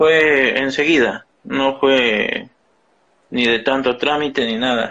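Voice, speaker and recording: Here a man talks at a very slow pace and a medium pitch. His tone is bright and sharp, with fairly even intonation. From Ecuador. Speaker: recent immigrant, former driver. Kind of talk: advice consultation.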